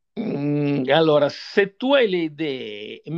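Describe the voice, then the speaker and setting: A man with a fairly high pitch uses lively intonation in a normal speaking voice. The sound is dry and close with no echo, over a quiet background. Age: 60s. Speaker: software developer and company founder. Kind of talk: interview.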